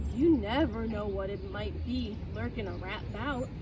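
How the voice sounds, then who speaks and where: Against loud background noise, a woman performs a put-on character voice at a fairly slow pace. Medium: read story. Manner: smooth, sly.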